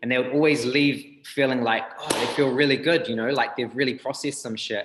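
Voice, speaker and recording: With a New Zealand accent, a man talks at a fairly quick pace. His medium-pitched voice stays monotone, with flat intonation. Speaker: breathwork healer, rapper, tattooer. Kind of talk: interview answer.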